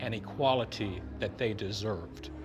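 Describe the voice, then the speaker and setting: A man keeps a moderate pace as noticeable background noise runs behind him. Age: 70s. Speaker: festival visitor. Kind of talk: vox pop interview.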